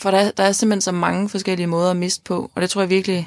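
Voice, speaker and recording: The pace is fairly quick. The recording is very clean and dry, close-sounding with no echo, over a silent background. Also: woman. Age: 20s. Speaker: podcast host. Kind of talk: personal testimony about grief. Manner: halting, repeats words.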